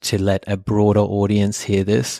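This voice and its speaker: A man with an Australian accent talks in a fairly low, monotone voice with flat intonation. The recording is very clean, dry and close with no echo, over a silent background. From Australia, Sydney (Epping), German family. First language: German. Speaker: podcast co-host and meditation school co-founder. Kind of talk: personal storytelling, casual chat.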